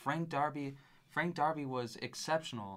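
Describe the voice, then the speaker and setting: An unremarkable speaking voice from a man, moderate in pace, with ordinary pitch variation. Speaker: sports podcast co-host. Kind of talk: casual sports analysis chat.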